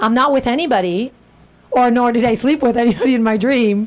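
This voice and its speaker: A woman with a Spanish accent talks very fast in an animated tone. Her pitch is fairly high and varies in an ordinary way. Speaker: radio host. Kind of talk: casual interview chat. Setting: radio studio.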